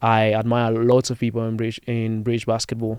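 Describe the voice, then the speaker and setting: Here a man talks at a medium pitch with a slight Spanish accent. The background stays quiet. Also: dry, close sound with no echo. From Spain. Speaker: basketball content creator. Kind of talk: casual chat. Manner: fast.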